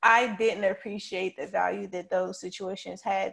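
This is a woman speaking. She has a North Carolina accent. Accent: US South, North Carolina. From Charlotte, North Carolina. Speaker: PR specialist. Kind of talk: casual chat.

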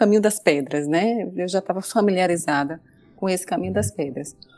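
A woman speaks at a fairly quick pace and a medium pitch, with very wide pitch swings and noticeable background noise. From Brazilian Northeast. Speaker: data protection specialist. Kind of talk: interview.

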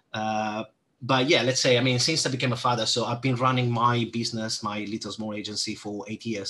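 This man has a bright, sharp tone at a medium pitch. His delivery is monotone and flat, at a moderate pace. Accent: Italian. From Italy. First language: Italian. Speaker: SEO manager. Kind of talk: interview.

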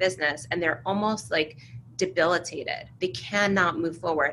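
Speaking in a plain, everyday voice, a woman has an American accent and a fairly low pitch. She keeps a moderate pace. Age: 40s. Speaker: entrepreneur. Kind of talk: interview.

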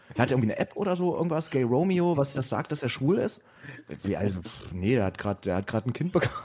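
Talking at a very fast pace, a man with a medium pitch and a dark, mellow tone swings his pitch very widely. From East Berlin, Germany. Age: 20s. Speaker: podcast host. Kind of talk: casual chat.

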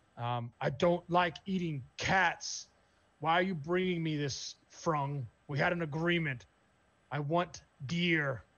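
At a fairly slow pace, a man growls in a put-on character voice, his pitch fairly high. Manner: soft growl.

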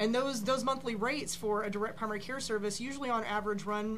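Over noticeable background noise, a woman talks at a very fast pace with a fairly high pitch and fairly even intonation. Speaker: insurance broker. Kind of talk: panel discussion. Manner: fast talker.

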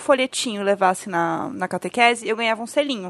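Over a quiet background, a woman talks in a normal speaking voice with ordinary pitch variation. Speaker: podcast co-host guest. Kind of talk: casual chat.

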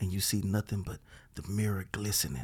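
With an American accent, a man talks at a moderate pace in a fairly low, somewhat breathy voice with fairly even intonation. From Beaumont, Texas. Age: 40s. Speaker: stand-up comedian. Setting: studio.

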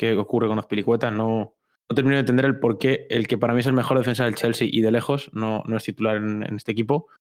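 Speaking very fast with a Madrid accent, a man keeps a medium pitch and fairly even intonation. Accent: Castilian Spanish (Madrid). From Madrid, Spain. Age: young (19). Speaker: university student and tech journalist, football fan. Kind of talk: interview.

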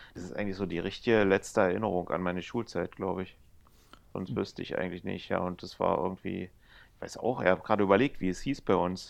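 Against a quiet background, a man with a very deep, low pitch talks very fast with fairly even intonation and big swings in loudness. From East Germany. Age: 50s. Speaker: casino employee and dragon boat organizer. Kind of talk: casual chat. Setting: remote call from home, lying on couch.

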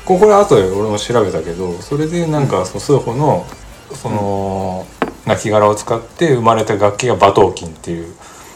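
There is noticeable background noise as a man speaks in a fairly low pitch with lively intonation. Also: moderate pace. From Mie Prefecture, Japan. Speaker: podcast co-host. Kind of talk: casual chat.

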